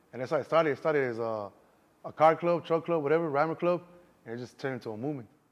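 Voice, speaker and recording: A man talks at a very fast pace with a fairly high pitch, ordinary pitch variation and big swings in loudness. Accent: slight Mexican. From Chicago, Southwest Side. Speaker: actor and car club founder. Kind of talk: interview. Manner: casual, filler-heavy.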